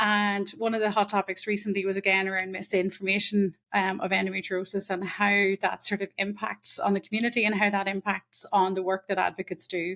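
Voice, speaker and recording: A woman speaks at medium pitch in a monotone, flat delivery with a bright, sharp tone. The sound is dry and close, with no echo. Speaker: endometriosis advocate and podcast host. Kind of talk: podcast conversation.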